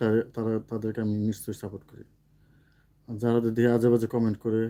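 A man talks at a medium pitch with a dark, mellow tone. His intonation is monotone and flat. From Mymensingh, Bangladesh (Muktagacha). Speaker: social media content creator. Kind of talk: live stream chat with viewers.

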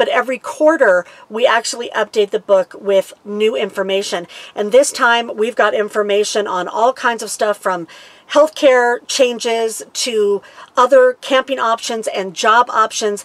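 Her pace is fairly slow. The woman's pitch shifts in an ordinary way. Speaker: RV lifestyle vlogger. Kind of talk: casual vlog chat. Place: home room.

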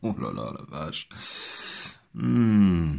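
Very deep and low with vocal fry, a man's voice carries lively intonation on a very clean recording with a silent background. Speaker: podcaster. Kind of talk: monologue commentary. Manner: hesitant, stammering.

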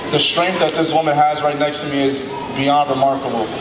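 Noticeable background noise accompanies a man's voice. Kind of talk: emotional ceremony speech. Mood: heartfelt, emotional. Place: hall. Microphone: handheld.

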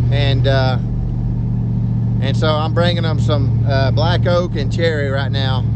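Loud background noise runs under a man's voice. There is no echo, just a dry sound. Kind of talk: casual vlog chat. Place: car. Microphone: phone near.

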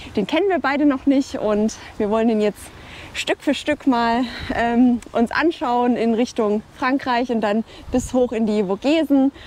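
A woman speaks at a fairly slow pace in a high voice. Her pitch varies in an ordinary way, and the sound is dry with no echo. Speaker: travel vlogger. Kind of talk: casual vlog chat. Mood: cheerful, excited. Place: waterside. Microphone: lapel.

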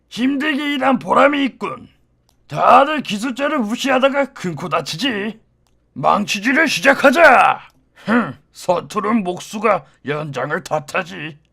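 A put-on character voice talks at a fairly high pitch and a fairly slow pace. Its pitch swings very widely.

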